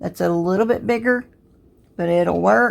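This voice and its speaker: A woman speaks in a Southern US accent. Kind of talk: tutorial. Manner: casual, conversational.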